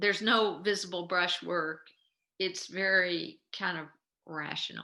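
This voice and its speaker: Speaking at a fairly slow pace, a woman with a medium pitch has a bright, sharp tone, vocal fry, and fairly even intonation. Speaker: art history instructor. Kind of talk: lecture.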